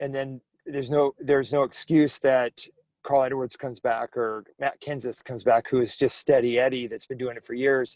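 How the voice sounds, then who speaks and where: Monotone and flat, a man speaks at a moderate pace with big swings in loudness. The sound is dry and close, with no echo. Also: medium pitch for a man. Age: 60s. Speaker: racing driver. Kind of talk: casual chat. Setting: podcast. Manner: halting.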